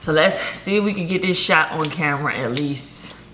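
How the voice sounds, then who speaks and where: Noticeable background noise runs behind the speech. A woman talks at a fairly slow pace. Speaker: lifestyle vlogger. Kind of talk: casual vlog chat. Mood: playful, upbeat. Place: home room. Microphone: phone near.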